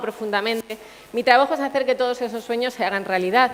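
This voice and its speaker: Noticeable background noise sits behind a woman's voice. She speaks at a high pitch with ordinary pitch variation. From Canary Islands (Puerto de la Cruz, Tenerife). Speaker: engineer, tech sales manager, conference speaker. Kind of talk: conference talk.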